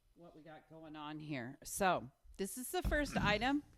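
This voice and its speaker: Loud and animated in tone, a woman speaks at a moderate pace in a medium pitch, with very wide pitch swings. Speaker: podcast co-host. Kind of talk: casual chat. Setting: recording studio. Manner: loud, all over the place.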